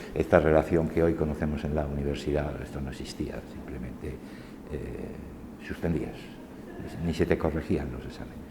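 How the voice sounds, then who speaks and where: In a room with audible echo, a man talks at a moderate pace with fairly even intonation. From Spain. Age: 60s. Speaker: university lecturer. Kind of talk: oral history testimony. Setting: university faculty. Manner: hesitant, many fillers.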